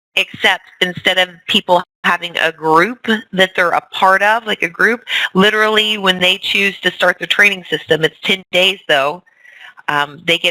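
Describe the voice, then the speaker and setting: A woman with a plain, everyday voice talks at a moderate pace at a fairly low pitch and ordinary pitch variation, the sound dry and close with no echo. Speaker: fitness coach team leader. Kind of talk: team training call.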